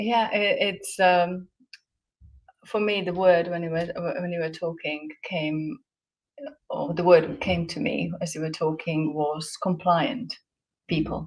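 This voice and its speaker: Speaking at a fairly slow pace with long, frequent pauses, a woman has a Slovak accent. Her pitch is fairly low, with ordinary variation. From Slovakia. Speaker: guest speaker. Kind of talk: casual interview chat. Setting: hotel room.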